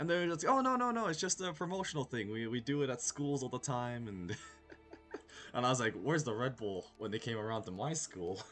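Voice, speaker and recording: A man speaks at a medium pitch and a fairly quick pace. His intonation is lively, with music in the background. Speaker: video game streamer. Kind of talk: casual chat. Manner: stuttering.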